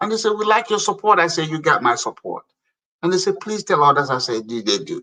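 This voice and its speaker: A man with an African accent talks very fast in a high, bright, sharp voice. His delivery is animated, with very wide pitch swings. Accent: noticeable foreign (African). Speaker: African immigrant community leader and public appointee. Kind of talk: casual interview chat. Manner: animated, emphatic.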